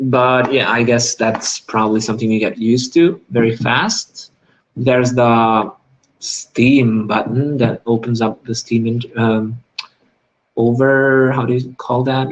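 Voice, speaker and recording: A man with a non-native accent speaks fairly slowly at a medium pitch in a monotone, flat intonation. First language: not English. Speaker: gaming youtuber. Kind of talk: live unboxing video. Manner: hesitant, many fillers.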